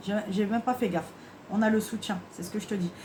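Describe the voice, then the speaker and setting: A woman's medium-pitched voice at a fairly quick pace, with ordinary pitch variation and noticeable background noise. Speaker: tarot card reader. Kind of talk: tarot reading guidance. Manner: fast; halting.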